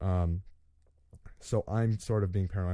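Very deep and low in pitch, a man speaks with a dark, mellow tone and fairly even intonation on a very clean recording with a silent background. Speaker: gaming podcast host. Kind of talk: solo podcast monologue. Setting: home studio. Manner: fast; halting.

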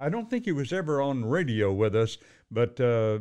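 In an American accent, a man with an unremarkable speaking voice talks at a moderate pace with lively intonation against a quiet background. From Fort Worth, Texas. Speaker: retired news anchor. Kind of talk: casual chat.

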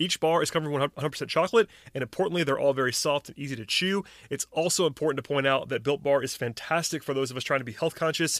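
The speech comes at a very fast pace with an upbeat tone and ordinary pitch variation, in a very clean recording with a silent background and a dry, close sound with no echo. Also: man, fairly high pitch for a man. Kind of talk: sponsor ad read within a podcast, infomercial-style sales pitch. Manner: upbeat, persuasive, promo-code pitch with steady, polished salesman delivery.

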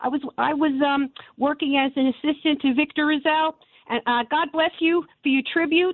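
A woman with a New York accent speaks at a moderate pace in a high voice, her intonation fairly even. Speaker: caller. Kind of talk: radio call-in. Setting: phone call.

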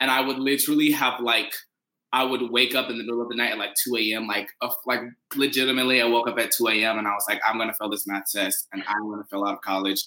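Bright and sharp in tone, a man talks at a very fast pace with fairly even intonation. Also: medium pitch for a man. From Kentucky, Paducah. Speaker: musical theater graduate. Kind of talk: casual chat. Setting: video call.

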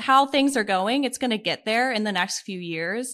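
A woman's fairly high, bright, sharp voice with an American accent and lively intonation, on a very clean recording with a silent background. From Pittsburgh, Pennsylvania. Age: 20s. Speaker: side hustle content creator. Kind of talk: podcast interview.

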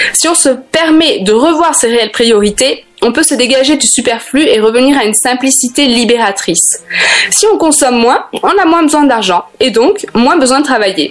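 Against noticeable background noise, a high-pitched woman speaks at a moderate pace, her pitch swinging very widely while her loudness stays very even. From Africa and France. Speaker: life coach columnist. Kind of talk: scripted radio segment.

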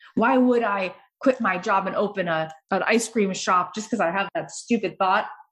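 A woman speaks at a moderate pace in a plain, everyday voice with ordinary pitch variation. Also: medium pitch for a woman. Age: 40s. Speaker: podcast host. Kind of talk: interview conversation.

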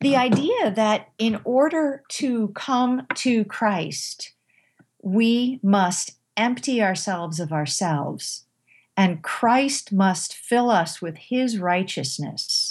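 A somewhat breathy woman at a very slow pace, fairly high-pitched, with very wide pitch swings. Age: 50s. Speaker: former English professor and author. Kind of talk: interview. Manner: halting.

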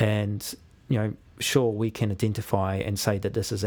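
A man's fairly low voice with a New Zealand accent, very clean recording, silent background. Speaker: university lecturer, animal welfare scientist. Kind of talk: casual interview. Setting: studio.

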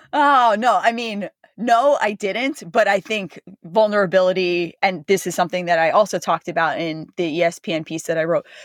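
In an American accent, a woman with a normal speaking voice talks at a fairly quick pace, her pitch fairly low with ordinary variation. The sound is dry and close with no echo, against a quiet background. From New Jersey, US. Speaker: ultramarathon runner. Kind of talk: casual interview chat.

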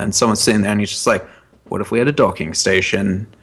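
Over noticeable background noise, a man with an American accent speaks at a fairly low pitch with ordinary variation. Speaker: podcast co-host. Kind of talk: casual chat. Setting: at home.

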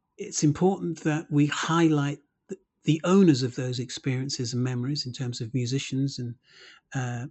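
Somewhat breathy, a man's voice comes through. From Birmingham, England (Handsworth). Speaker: music lecturer and former reggae musician. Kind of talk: interview monologue.

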